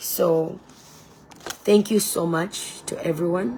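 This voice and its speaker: At a very slow pace, a woman with a fairly low pitch speaks over noticeable background noise. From Zambia. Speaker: online preacher and political candidate. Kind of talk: casual livestream sharing and talk. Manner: emphatic, defiant.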